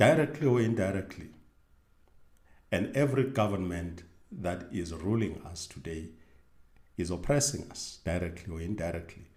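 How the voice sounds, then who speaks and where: A somewhat breathy man at a moderate pace, lively intonation, and audible room echo. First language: not English. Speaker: religious video host. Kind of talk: bible teaching monologue. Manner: halting with self-corrections.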